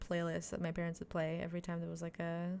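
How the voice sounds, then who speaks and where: The speech comes at a very fast pace. It is delivered in a Quebec accent. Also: woman. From Quebec, Canada (Montreal). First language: French. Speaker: video game streamer. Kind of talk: casual live-stream chat.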